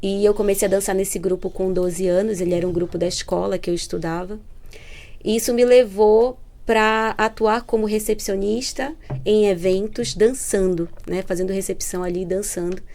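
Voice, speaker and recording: This woman speaks with a Pará accent in a dark, mellow tone at medium pitch. Her pace is moderate and her pitch variation is ordinary. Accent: northern Brazilian (Pará) accent, noticeable. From northern Brazil (Belém, Pará). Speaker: entrepreneurship program manager. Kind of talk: podcast interview.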